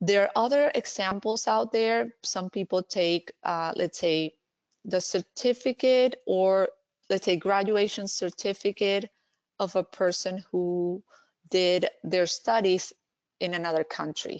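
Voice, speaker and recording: A woman talks in a Spanish accent at a medium pitch. The sound is dry and close, with no echo. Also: ordinary pitch variation, fairly slow pace, quiet background. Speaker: language services director and healthcare speaker. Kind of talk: webinar presentation Q&A. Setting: online webinar. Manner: hesitant, with fillers and restarts.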